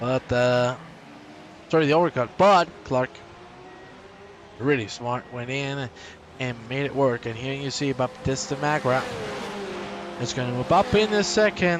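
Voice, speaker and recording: A man's medium-pitched voice with lively intonation, fairly slow and full of long, frequent pauses, against noticeable background noise. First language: Spanish. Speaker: sim racing commentator. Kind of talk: live commentary. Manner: animated. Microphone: poor microphone.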